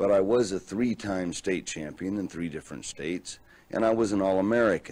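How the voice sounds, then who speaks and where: A man in an unremarkable speaking voice talks fairly quickly. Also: fairly low pitch for a man, ordinary pitch variation. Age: 20s. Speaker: professional wrestler. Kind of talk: testimony to camera.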